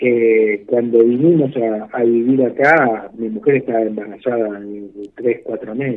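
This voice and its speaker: A man speaks with a Rioplatense accent and hardly any pauses. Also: medium pitch for a man, fairly even intonation, fairly slow pace. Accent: Argentine Rioplatense Spanish. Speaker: retired doctor. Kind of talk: radio interview. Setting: phone call. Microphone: blurry connection.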